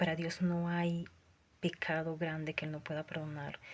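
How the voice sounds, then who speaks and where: A woman with a Lima accent speaks in a fairly low, somewhat breathy voice with monotone, flat intonation. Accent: Peruvian (Lima) Spanish. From Peru, Lima. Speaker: self-described prophet, preacher. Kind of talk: religious testimony. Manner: fervent, preaching.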